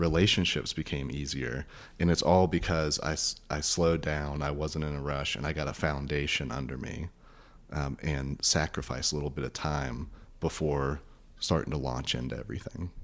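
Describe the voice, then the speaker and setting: In a very clean recording with a silent background, a speaker with an American accent talks at a moderate pace with fairly even intonation and vocal fry. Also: man, very deep, low pitch for a man. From US South, rural northwest Florida. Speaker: therapist. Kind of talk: interview.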